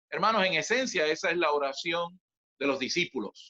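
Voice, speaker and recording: A man talks at a moderate pace in a bright, sharp tone with lively intonation, recorded with a dry, close sound and no echo. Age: 60s. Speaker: church minister. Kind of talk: sermon. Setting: video call.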